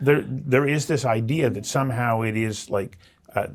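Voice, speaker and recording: A normal speaking voice from a man at medium pitch and moderate pace, with ordinary pitch variation. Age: 60s. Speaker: interviewer. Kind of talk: interview.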